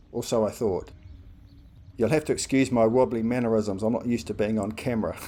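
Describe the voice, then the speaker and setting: In a New Zealand accent, a man speaks at a moderate pace with a dark, mellow tone and fairly even intonation. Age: 60s. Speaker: amateur golfer. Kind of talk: scripted narration.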